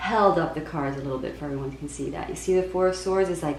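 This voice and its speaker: Audible room echo and noticeable background noise around a female speaker. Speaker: tarot reader. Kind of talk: tarot reading monologue. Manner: halting, many fillers and repeats; speaking at moderate volume after test.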